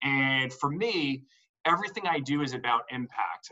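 A man's fairly high voice with a New Jersey accent and ordinary pitch variation. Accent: New Jersey American. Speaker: entrepreneur and business consultant. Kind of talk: live group discussion call. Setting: group call. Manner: animated.

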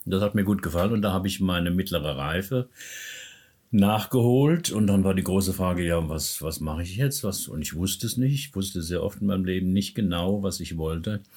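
Fairly quick pace and ordinary pitch variation on a very clean recording with a silent background. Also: man, very deep, low pitch for a man. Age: 70s. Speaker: personal development coach and therapist. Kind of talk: interview.

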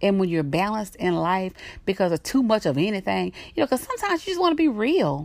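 Speaking with a Southern US accent, a woman goes at a very fast pace. Her tone is animated and warm. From US South. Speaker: podcast host. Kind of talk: solo podcast talk, encouraging. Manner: animated, warm, laughs often.

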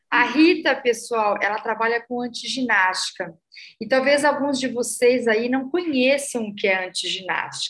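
Pitched high, a woman's voice keeps a moderate pace and shows ordinary pitch variation. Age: 50s. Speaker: podcast host. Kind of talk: interview.

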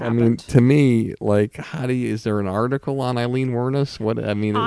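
Noticeable background noise sits behind a man speaking at medium pitch and a moderate pace with fairly even intonation. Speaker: podcast host, interviewer.

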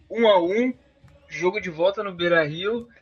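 A man is talking while noticeable background noise runs underneath. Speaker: football podcast host. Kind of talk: casual chat.

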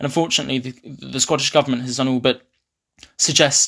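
This man has a fairly high pitch. The recording is very clean, with a silent background. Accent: southern English. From eastern England, Ipswich. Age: young. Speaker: university student. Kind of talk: interview.

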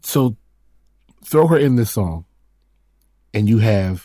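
A man speaks at a fairly slow pace in a fairly low pitch. His tone is dark and mellow, and somewhat breathy. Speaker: podcast co-host with his wife. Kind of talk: casual chat. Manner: relaxed.

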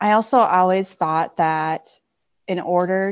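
In a plain, everyday voice, a woman talks at a fairly slow pace with a fairly low pitch against a quiet background. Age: 30s. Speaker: physical therapist and podcast guest. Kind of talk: personal testimony in interview.

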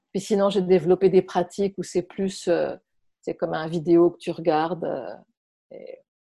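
Speaking at a fairly slow pace in a fairly low, dark and mellow voice, a woman keeps a flat, monotone intonation while her loudness swings widely, in a very clean recording with a silent background. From France. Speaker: movement and voice workshop leader. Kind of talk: interview. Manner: halting.

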